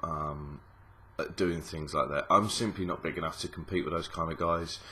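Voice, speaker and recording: A man talks at a moderate pace with a Cockney accent. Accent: Cockney London English. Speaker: gaming YouTuber. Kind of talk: casual vlog. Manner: mumbling, hesitant with many ums.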